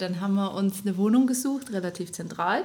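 A woman talks at a fairly quick pace with ordinary pitch variation, over noticeable background noise. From Upper Bavaria (Rosenheim). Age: 30s. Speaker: podcast co-host, mother, Instagram creator. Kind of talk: casual chat.

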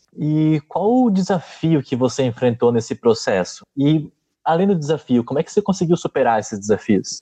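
A man with a dark, mellow tone and fairly high pitch speaks at a moderate pace, his pitch swinging very widely. His loudness swings a lot, and the sound is dry and close with no echo. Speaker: podcast host. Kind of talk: interview.

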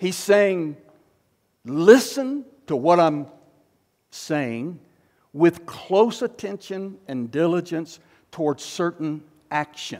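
A man with a high voice speaks very slowly, leaving long, frequent pauses. His intonation is lively. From US South. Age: 60s. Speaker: pastor. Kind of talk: sermon.

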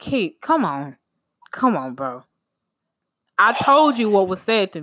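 A woman with a fairly bright tone talks slowly at a medium pitch, making big pitch swings.

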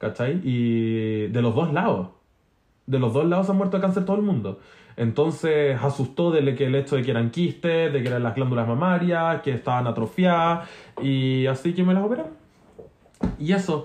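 Speaking in a Chilean accent, a man uses lively intonation at a moderate pace and a fairly high pitch. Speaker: podcast co-host. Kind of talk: casual chat.

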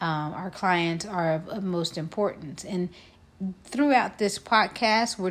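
This is a plain, everyday voice with an American accent. It moves at a fairly slow pace with ordinary pitch variation. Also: woman. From Texas (Fort Worth area). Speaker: podcast co-host, educator. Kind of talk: casual chat.

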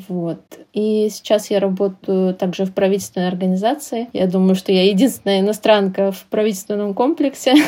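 At a fairly quick pace, the voice moves with ordinary pitch variation against noticeable background noise. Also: woman, medium pitch for a woman. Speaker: translator. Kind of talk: casual interview chat.

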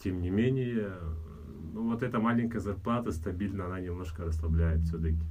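A man with a very deep, low voice talks at a fairly quick pace, breaking it up with long, frequent pauses. His pitch variation is ordinary, and the room echo is audible. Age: 30s. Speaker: fitness trainer. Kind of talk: casual chat.

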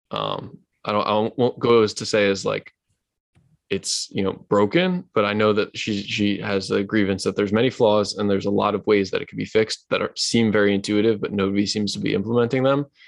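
A plain, everyday voice from a man, fairly low in pitch, with fairly even intonation at a fairly quick pace. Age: 20s. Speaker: podcast host. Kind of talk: casual chat.

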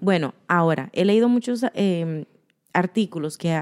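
A woman speaks at a moderate pace in a fairly low, dark and mellow voice, recorded dry and close with no echo on a very clean track with a silent background. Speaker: podcast co-host. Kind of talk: casual chat.

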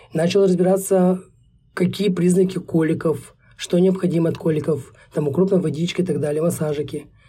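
A man talks at a high pitch in a dark, mellow tone. He keeps a moderate pace and fairly even intonation. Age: 20s. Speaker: young father, producer. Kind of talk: podcast interview.

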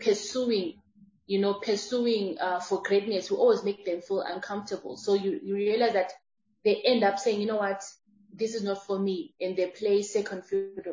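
A somewhat breathy woman's voice at a medium pitch, with ordinary pitch variation and a moderate pace. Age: 30s. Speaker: transformational speaker and entrepreneur. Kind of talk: interview.

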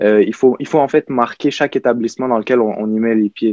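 At a fairly quick pace, a man with a medium pitch and a dark, mellow tone speaks in a monotone, flat intonation, the sound dry and close with no echo. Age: young. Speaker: prep school student, panelist. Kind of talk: panel discussion.

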